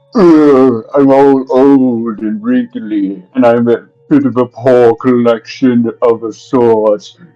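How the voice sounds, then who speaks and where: Putting on a character voice, a man speaks very slowly at a medium pitch, creaky and with fairly even intonation. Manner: mysterious.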